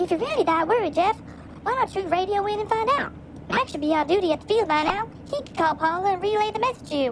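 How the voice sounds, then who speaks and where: Someone does a put-on character voice at a very fast pace. Background noise is clearly audible. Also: woman, extremely high pitch for a woman. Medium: short film. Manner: wry, brisk.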